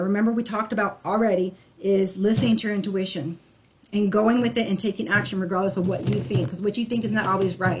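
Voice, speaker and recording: Speaking very fast, a woman lets her pitch vary in an ordinary way. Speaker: tarot reader. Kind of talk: tarot reading.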